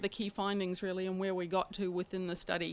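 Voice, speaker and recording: The woman's voice has a bright, sharp tone. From New Zealand. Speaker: freight consultant. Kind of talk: presentation.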